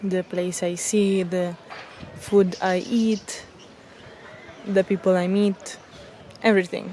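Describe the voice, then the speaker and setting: Speaking very slowly in an Italian accent, the voice stays monotone and flat, broken by long, frequent pauses over noticeable background noise. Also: woman, medium pitch for a woman. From Italy. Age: 20s. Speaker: travel vlogger. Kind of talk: casual vlog narration. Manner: halting, with fillers.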